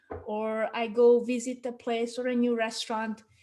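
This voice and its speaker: A woman with a non-native accent talks at a moderate pace in a high pitch, her intonation fairly even. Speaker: marketing consultant. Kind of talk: webinar talk. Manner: conversational.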